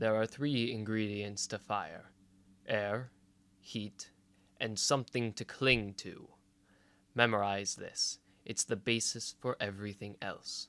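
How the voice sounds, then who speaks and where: Putting on a loud, growling character voice, a man speaks sternly at medium pitch and a fairly slow pace with long, frequent pauses, on a very clean recording with a silent background. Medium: read story. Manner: stern, growling, curt.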